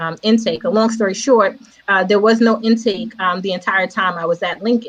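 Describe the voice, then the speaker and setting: The accent is American and the delivery is an ordinary speaking voice. Pitch varies in an ordinary way, and the pace is moderate. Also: woman. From New York City (Queens). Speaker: educator and entrepreneur. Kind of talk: casual interview.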